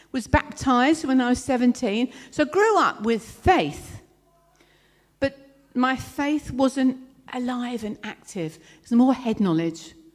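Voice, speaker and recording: With a southern English accent, a woman speaks at a high pitch with lively intonation. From southern England (London, then Kent). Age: 60s. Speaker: speaker sharing testimony, counselor. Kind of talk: testimony. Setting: church event, speaking in front of audience.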